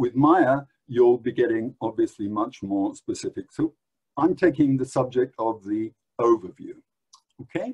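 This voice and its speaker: At a fairly slow pace, a speaker with an English accent talks in a dark, mellow tone with ordinary pitch variation and a dry, close sound with no echo. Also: man. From England. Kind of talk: lecture. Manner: hesitant, many filler words.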